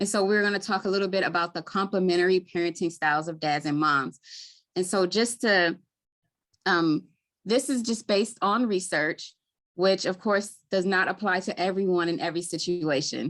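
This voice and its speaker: A woman with a Baltimore accent, medium pitch, ordinary pitch variation and a moderate pace. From Baltimore, Maryland. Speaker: community health worker. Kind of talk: webinar presentation. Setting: live webinar.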